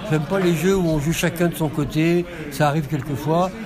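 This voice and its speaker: There is noticeable background noise as a man with a fairly high pitch speaks at a moderate pace. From France, Lyon. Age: old. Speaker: retired game designer and author. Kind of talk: casual interview. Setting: festival stand. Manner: halting.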